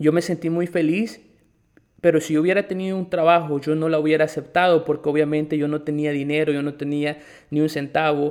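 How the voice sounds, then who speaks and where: In a very clean recording with a silent background, a man speaks fairly quickly at a fairly high pitch in a monotone, flat delivery. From El Salvador. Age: 20s. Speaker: podcast host and English academy manager. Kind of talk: personal testimony.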